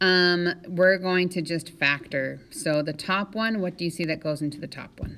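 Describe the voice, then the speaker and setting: Speech proceeds at a moderate pace. Its intonation is fairly even. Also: woman. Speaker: high school math teacher. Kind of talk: tutorial.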